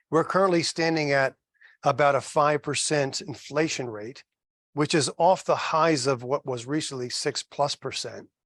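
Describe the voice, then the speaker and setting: At a moderate pace, a man talks with a fairly high pitch. The background is quiet, and the sound is dry and close with no echo. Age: 60s. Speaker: mortgage loan officer. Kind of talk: educational seminar. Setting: live seminar with in-person audience. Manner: animated, conversational.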